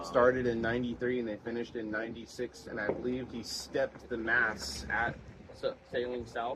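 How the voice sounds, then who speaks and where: Background noise is noticeable. A man talks at a moderate pace with fairly even intonation. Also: medium pitch for a man. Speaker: boat captain. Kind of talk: interview answer.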